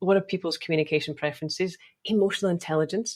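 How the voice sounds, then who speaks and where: On a very clean recording with a silent background, a woman with a slight Scottish accent talks at a very fast pace with ordinary pitch variation. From Scotland. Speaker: optometrist and sales coach. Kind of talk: podcast interview.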